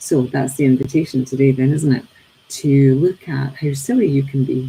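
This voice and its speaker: Her pitch very deep and low, a woman speaks in a dark, mellow, somewhat breathy voice at a moderate pace, her intonation monotone and flat. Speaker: teacher and daily reading presenter. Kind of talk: reflective talk on a daily reading. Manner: hesitant, many fillers.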